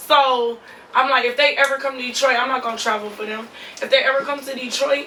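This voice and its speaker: A woman talks at a very fast pace in a raised, projected, high voice with monotone, flat intonation. Noticeable background noise is present. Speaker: reality TV cast member and lash artist. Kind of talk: interview.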